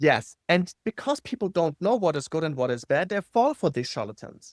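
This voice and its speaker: With a non-native accent, a man speaks at a high pitch and a moderate pace, his pitch swinging very widely, in a dry, close sound with no echo. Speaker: marketing copywriter. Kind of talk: podcast interview. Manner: animated.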